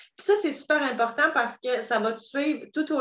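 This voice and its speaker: The woman's voice has a bright, sharp tone. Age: 30s. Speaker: podcast host and coach. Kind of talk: solo podcast monologue.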